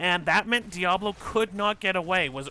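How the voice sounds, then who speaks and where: A man's high voice with a bright, sharp tone at a moderate pace. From Canada. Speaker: esports caster. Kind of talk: live commentary.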